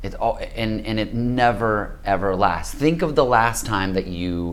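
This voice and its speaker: Audible room echo hangs around speech delivered at a very slow pace. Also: man. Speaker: spiritual teacher. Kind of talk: casual talk. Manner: halting.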